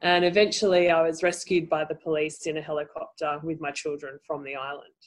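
This woman has an Australian accent and a fairly low pitch. She speaks at a moderate pace with fairly even intonation. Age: 40s. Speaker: life coach and NLP trainer. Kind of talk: interview.

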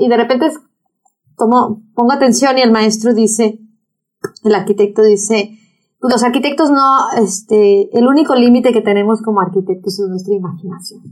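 A woman with a Mexican accent talks at a moderate pace in a fairly high pitch. Her loudness stays very even, and her pitch varies an ordinary amount. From Mexico, Acapulco. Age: 50s. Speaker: environmental activist. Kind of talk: interview. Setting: office. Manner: animated.

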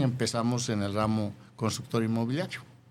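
There is audible room echo around a man's voice. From Jalisco, Mexico (rural Yahualica). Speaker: businessman. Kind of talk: interview.

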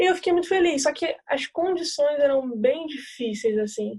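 This woman's speech is fairly quick, and her pitch varies in an ordinary way. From Niterói, Rio de Janeiro, Brazil. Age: 20s. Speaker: women's football goalkeeper. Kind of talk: interview.

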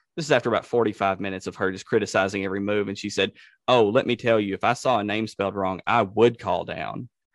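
A man talks very fast at a fairly low pitch, his intonation fairly even. The sound is dry and close with no echo, over a quiet background. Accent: Tennessee. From Tennessee. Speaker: podcast host, former funeral director. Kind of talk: casual interview chat.

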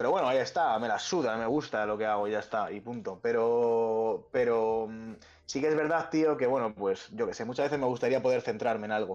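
A man at a medium pitch, fairly quick in pace, with ordinary pitch variation and a quiet background. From Spain, Pinto (Madrid). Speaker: rapper and music producer. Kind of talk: casual chat.

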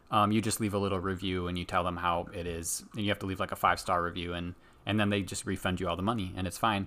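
Very fast and soft-spoken, a man talks with a bright, sharp tone. The recording is very clean, with a silent background. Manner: loud, though says he is normally soft-spoken.

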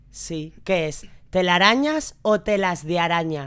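A woman's voice at a medium pitch. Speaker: podcast guest, regular contributor. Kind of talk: casual chat.

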